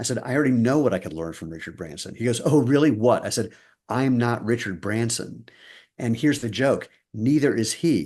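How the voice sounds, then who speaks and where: A man with a normal speaking voice, medium pitch, lively intonation and a fairly quick pace against a quiet background. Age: 60s. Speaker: footwear company co-founder. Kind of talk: interview.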